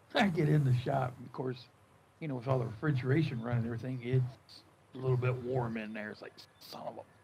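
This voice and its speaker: A man's somewhat breathy voice at medium pitch, racing along at a very fast pace with big swings in loudness. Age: 70s. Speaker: gaming streamer and farmer. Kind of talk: casual chat. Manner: animated.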